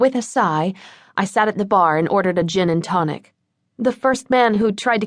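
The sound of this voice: An unforced reading voice over a quiet background.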